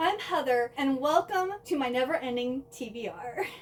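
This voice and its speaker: Lively intonation in an American accent at a fairly slow pace, with noticeable background noise. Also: woman. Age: 30s. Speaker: book vlogger. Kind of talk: casual vlog introduction.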